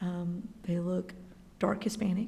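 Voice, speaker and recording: Through audible room echo, a woman's somewhat breathy voice comes across monotone and flat. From Texas (San Antonio, El Paso). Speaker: school library aide. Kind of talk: personal testimony interview. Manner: hesitant, many 'um' fillers.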